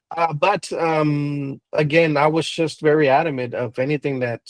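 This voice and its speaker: A man at a fairly slow pace with fairly even intonation, in a dry, close sound with no echo. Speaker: pastor. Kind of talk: interview conversation. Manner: hesitant, many fillers.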